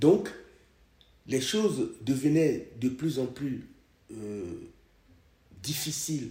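Very slowly and with long, frequent pauses, a man speaks in a fairly high, dark, mellow and somewhat breathy voice, with audible room echo. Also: lively intonation, big swings in loudness. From Togo. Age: 70s. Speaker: podcast host's father. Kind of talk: personal testimony.

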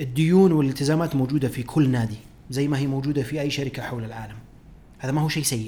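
This man's somewhat breathy voice sits fairly high and moves at a very fast pace with ordinary pitch variation. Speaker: podcast host, financial analyst. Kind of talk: solo podcast commentary.

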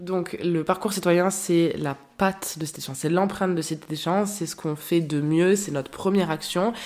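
This woman has a fairly low pitch and fairly even intonation. She speaks at a moderate pace. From France, Marseille. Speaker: association public relations director. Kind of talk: interview. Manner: hesitant, frequent repetitions.

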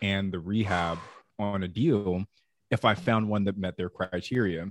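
With an American accent and an unremarkable speaking voice, a man at a fairly low pitch talks at a moderate pace with fairly even intonation, the sound dry and close with no echo in a very clean recording with a silent background. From Southern California. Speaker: real estate investor and podcast co-host. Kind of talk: interview conversation.

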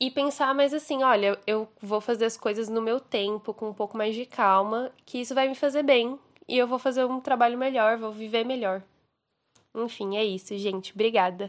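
A plain, everyday voice at a moderate pace, fairly even in intonation, over a quiet background. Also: woman, fairly high pitch for a woman. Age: 20s. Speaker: recent graduate, friend of host. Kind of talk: recorded voice message testimony. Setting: recorded voice message.

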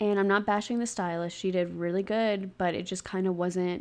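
A woman of medium pitch with a Southern US accent. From US South, Mississippi Gulf Coast. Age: 20s. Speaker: hairstylist and podcaster. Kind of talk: casual monologue.

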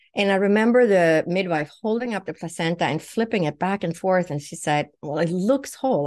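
A woman with a Swedish accent speaks at a fairly quick pace with hardly any pauses. Her medium pitch has ordinary variation, against a quiet background. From Sweden. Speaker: naturopathic doctor, psychic medium. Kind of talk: personal testimony.

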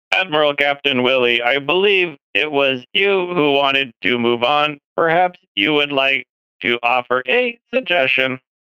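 A man's put-on character voice, fairly high in pitch, at a moderate pace.

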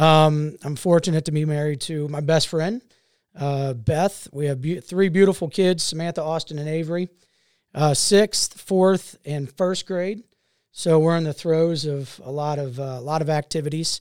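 In a very clean recording with a silent background, a man with an American accent speaks at a moderate pace in an ordinary speaking voice. His pitch is fairly high, and his intonation is fairly even. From Ohio, Cincinnati area. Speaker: entrepreneur and city council member. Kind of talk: casual chat.

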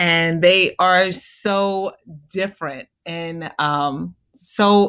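Against a quiet background, a woman has an unremarkable speaking voice, fairly low in pitch with ordinary pitch variation. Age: 40s. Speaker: stay-at-home mother. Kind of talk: casual chat. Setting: call.

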